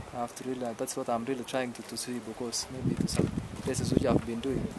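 Over noticeable background noise, a man speaks at a fairly quick pace in a dry sound with no echo. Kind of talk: interview answer. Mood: relaxed, laughing at times. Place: open country.

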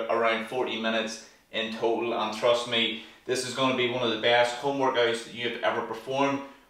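A man talks fairly quickly, and audible room echo surrounds his voice. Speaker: fitness instructor. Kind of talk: tutorial. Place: home room.

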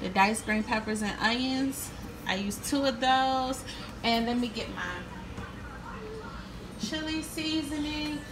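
Very slow speech broken by long, frequent pauses, with noticeable background noise. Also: woman. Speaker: home cook vlogger. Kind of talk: casual cooking tutorial. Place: kitchen. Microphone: phone near.

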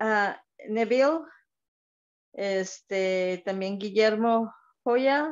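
Very slow pace with long, frequent pauses, ordinary pitch variation, and a quiet background. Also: woman, fairly high pitch for a woman. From Monterrey, Mexico; Mexico. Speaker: caller. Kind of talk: casual chat. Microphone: video call.

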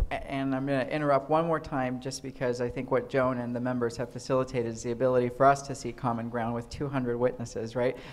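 A man with an American accent speaks very fast with hardly any pauses, in a medium pitch with monotone, flat intonation. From Tucson, Arizona; Arizona. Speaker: state representative; state legislator on panel. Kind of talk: panel discussion. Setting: stage with audience. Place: hall. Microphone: handheld.

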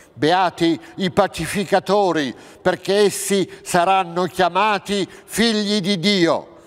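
In a quiet background, a man speaks at a very slow pace. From central Italy, Abruzzo. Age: 60s. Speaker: actor. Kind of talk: reading aloud of scripture. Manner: formal. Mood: solemn, measured. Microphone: lapel.

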